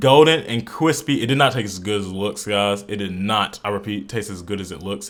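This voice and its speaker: The man's delivery is animated, with ordinary pitch variation. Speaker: fitness vlogger. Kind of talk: voiceover narration. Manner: fast; casual, animated.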